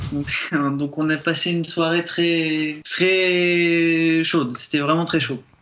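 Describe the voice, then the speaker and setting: A man with a fairly high pitch speaks at a very slow pace with hardly any pauses, his intonation monotone and flat, over noticeable background noise. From southern France, Montpellier. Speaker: guest. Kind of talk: radio interview.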